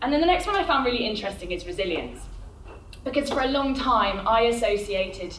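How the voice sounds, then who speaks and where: A woman speaks at a fairly quick pace amid audible room echo and noticeable background noise. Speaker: agency director giving a careers talk. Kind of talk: conference talk. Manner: loud.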